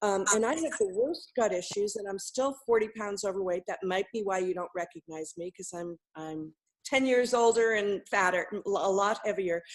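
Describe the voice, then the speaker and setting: In an unremarkable speaking voice, the speaker moves at a moderate pace with ordinary pitch variation and hardly any pauses. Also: woman, medium pitch for a woman. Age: 60s. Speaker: coaching call participant. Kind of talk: coaching call.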